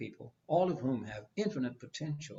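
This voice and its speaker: A man speaks with an American accent and lively intonation. His voice is somewhat breathy. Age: 80s+. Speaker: psychologist. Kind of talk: panel conversation.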